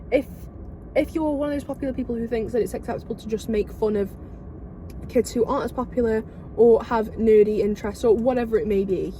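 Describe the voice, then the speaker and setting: A woman with an English accent and a fairly high pitch talks at a very fast pace with fairly even intonation. She takes long, frequent pauses amid noticeable background noise. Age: 20s. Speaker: podcast co-host. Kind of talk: casual chat. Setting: in a car.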